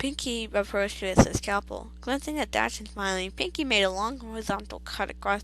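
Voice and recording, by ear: The speaker is reading aloud in a natural voice. The delivery is read from text.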